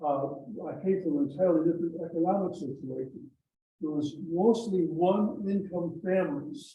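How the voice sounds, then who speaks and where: At a moderate pace, a man speaks in a high pitch. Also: ordinary pitch variation. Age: 90s. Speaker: club member. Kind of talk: casual speech at club meeting. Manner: halting.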